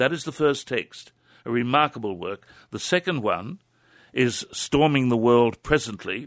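A man with an Australian accent at a fairly slow pace, lively intonation and a quiet background. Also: medium pitch for a man. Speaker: herbal medicine practitioner. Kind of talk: radio interview on health.

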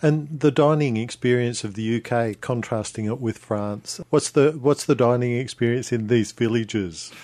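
Speaking at a moderate pace with hardly any pauses, a man with an Australian accent has a dark, mellow tone and ordinary pitch variation. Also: medium pitch for a man. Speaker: radio travel presenter. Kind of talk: radio interview. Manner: hesitant, repeats words.

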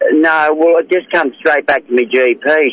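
In an Australian accent, a man with a fairly high pitch speaks at a moderate pace, the sound dry and close with no echo. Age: 50s. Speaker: caller. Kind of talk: radio call-in.

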